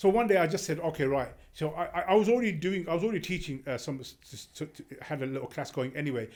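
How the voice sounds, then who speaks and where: At a very fast pace, a man speaks with a high pitch and lively intonation. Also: very clean recording, silent background. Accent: London. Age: 60s. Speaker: community religious teacher. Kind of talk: casual chat. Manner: halting.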